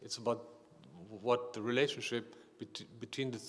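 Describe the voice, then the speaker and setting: In a non-native accent, a man talks at a moderate pace with a medium pitch and flat, monotone intonation. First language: not English. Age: 50s. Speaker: artist. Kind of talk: panel discussion. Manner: halting.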